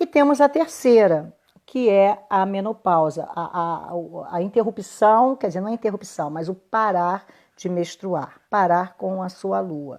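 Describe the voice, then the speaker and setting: Fairly slow, lively in intonation, a woman's voice at medium pitch. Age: 60s. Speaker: women's health therapist. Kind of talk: live stream talk. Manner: halting.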